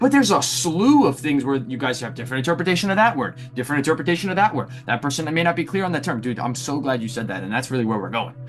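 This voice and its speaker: A man talks at a very fast pace with hardly any pauses, his pitch fairly high and his intonation lively. His tone is animated, and music plays in the background. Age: young. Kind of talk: lecture. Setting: video call. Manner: halting.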